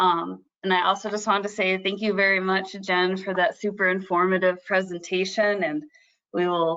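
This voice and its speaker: Against a quiet background, a woman with a Midwestern accent speaks at a moderate pace in a medium-pitched, bright, sharp tone with monotone, flat intonation. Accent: Midwest. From Michigan, US Midwest. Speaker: environmental agency scientist. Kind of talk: webinar presentation.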